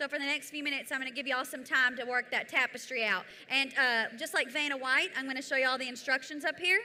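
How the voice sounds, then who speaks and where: A woman's high-pitched voice comes out raised and projected. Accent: Southern US. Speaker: event presenter. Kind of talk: event activity instructions. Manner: loud.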